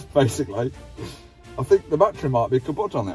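A man's fairly quick delivery, dry with no echo, over faint background music. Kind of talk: casual vlog chat. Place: car. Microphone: phone near.

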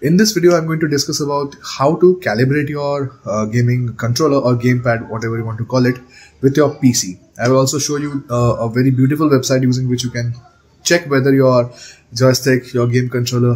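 This man's pitch rises and falls in a normal way. He moves along fairly quickly. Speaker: tech channel host. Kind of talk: tutorial intro to camera. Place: home room. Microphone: phone near.

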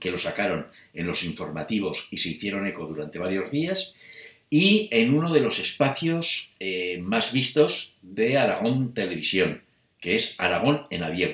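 The man's fairly slow speech carries audible room echo. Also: quiet background. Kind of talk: casual vlog chat. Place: home room. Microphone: webcam.

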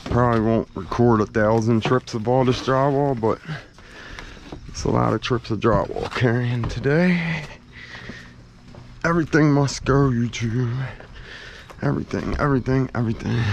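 A man talks at a moderate pace with ordinary pitch variation and long, frequent pauses. The sound is dry with no echo, over light background noise. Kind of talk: casual vlog chat. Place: garden. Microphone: phone near.

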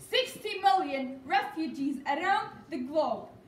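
A woman speaks at an extremely high pitch. The room echo is audible. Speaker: speaker. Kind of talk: speech. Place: hall. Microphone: camera far.

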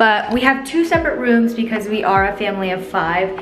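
There is audible room echo and light background noise as a woman speaks at a moderate pace with ordinary pitch variation. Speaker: travel vlogger. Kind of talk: casual vlog chat. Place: home room. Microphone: phone near.

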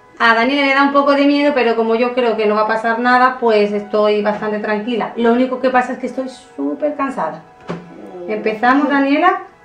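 A woman talks fairly quickly in a high voice with ordinary pitch variation. Audible room echo and faint background music are present. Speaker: kids channel host. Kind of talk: casual vlog chat. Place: home room. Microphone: camera far.

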